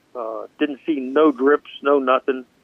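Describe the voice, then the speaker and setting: A man speaks at a fairly high pitch in a monotone, flat intonation. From Pittsburgh area. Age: 60s. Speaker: race car driver. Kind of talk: interview. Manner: halting.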